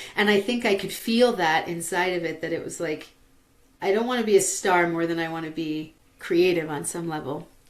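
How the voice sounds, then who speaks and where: Speaking at a fairly quick pace, a woman uses a plain, everyday voice, fairly low in pitch with ordinary pitch variation. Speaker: vocal transformation teacher. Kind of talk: interview answer. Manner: casual, conversational.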